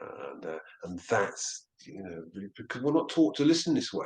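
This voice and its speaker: A man at a moderate pace with lively intonation. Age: 60s. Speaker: near-death experiencer and counsellor. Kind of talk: interview. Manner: halting, with many repetitions.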